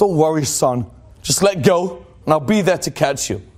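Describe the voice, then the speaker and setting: A man puts on a booming character voice with a fairly high pitch. He keeps a moderate pace. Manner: reassuring, fatherly.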